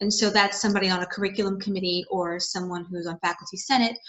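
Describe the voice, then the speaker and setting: In an American accent, a woman speaks at a medium pitch with fairly even intonation. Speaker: college instructor. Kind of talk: recorded video talk to students. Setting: home video recording, parents' house. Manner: casual, chatty.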